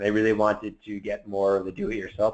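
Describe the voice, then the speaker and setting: A man is speaking. His voice sits fairly low in pitch. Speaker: software product manager. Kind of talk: webinar Q&A. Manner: fast.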